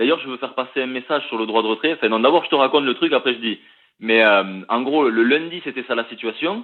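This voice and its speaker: The speaker is a man with a medium pitch and ordinary pitch variation. He talks at a very fast pace. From Toulouse, southern France. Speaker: union delegate, factory worker. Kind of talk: live interview. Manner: hesitant, many fillers.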